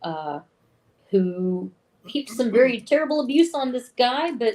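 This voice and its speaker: In a Southern US accent, a woman speaks at a fairly slow pace with a high pitch and very wide pitch swings. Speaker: film podcast co-host. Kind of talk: film synopsis in casual chat.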